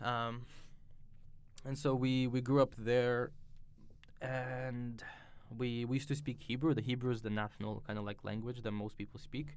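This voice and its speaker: With a Russian accent, a man talks at a medium pitch and a moderate pace, in a monotone, flat delivery broken by long, frequent pauses. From Israel. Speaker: religious convert sharing conversion story. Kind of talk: personal testimony. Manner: hesitant, many fillers and restarts.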